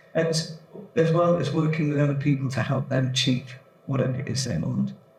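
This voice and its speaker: At a fairly quick pace, a man with a fairly high pitch and ordinary pitch variation talks over noticeable background noise. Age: 60s. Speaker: panel expert, triathlete and coach. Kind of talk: panel talk, personal story. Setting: event panel with audience.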